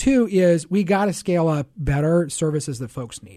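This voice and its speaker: A man with an American accent has an ordinary speaking voice, pitched fairly high, with ordinary pitch variation. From Seattle. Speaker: politician. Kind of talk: interview. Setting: studio.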